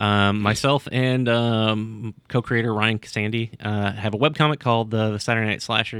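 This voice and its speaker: A man with a fairly low pitch and a bright, sharp tone. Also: very clean recording, silent background. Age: 40s. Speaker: web comic co-creator. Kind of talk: casual chat.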